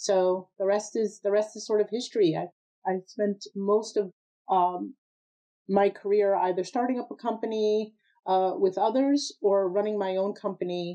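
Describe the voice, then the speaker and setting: A woman at a moderate pace with medium pitch, fairly even intonation and an American accent, a plain, everyday voice. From Massachusetts, US (Framingham, near Boston). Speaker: nonprofit president and business advocate. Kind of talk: interview conversation.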